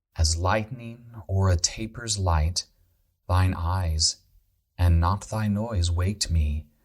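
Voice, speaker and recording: A man speaks at a very deep, low pitch and a very slow pace, somewhat breathy, in a calm, soothing tone. Long, frequent pauses break his speech, while his loudness stays very even and his intonation fairly even. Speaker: podcast host, composer and Renaissance festival performer. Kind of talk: sleep poetry reading. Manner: calm, slow, soothing.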